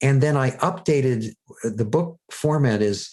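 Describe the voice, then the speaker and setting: An ordinary speaking voice at a moderate pace. The intonation is lively. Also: man. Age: 60s. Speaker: self-help teacher and author. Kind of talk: podcast interview. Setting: podcast.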